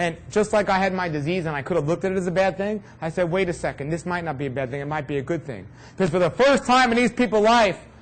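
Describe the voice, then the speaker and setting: Someone with a New York accent talks at a very fast pace, with ordinary pitch variation. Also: man. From New York City. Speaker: raw food health speaker. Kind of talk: talk to an audience.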